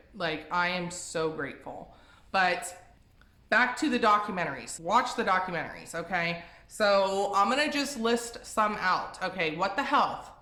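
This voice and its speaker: Amid audible room echo, a woman with a bright, sharp tone and lively intonation speaks at a fairly slow pace. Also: medium pitch for a woman. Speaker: vegan lifestyle youtuber. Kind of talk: casual vlog advice talk. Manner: rambling, tripping over words; casual, filler-heavy.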